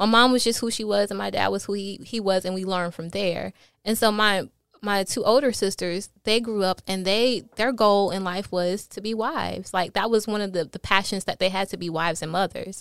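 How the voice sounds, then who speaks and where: Speaking at a fairly quick pace, a woman uses medium pitch and fairly even intonation on a very clean recording with a silent background. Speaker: podcast guest. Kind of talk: casual chat.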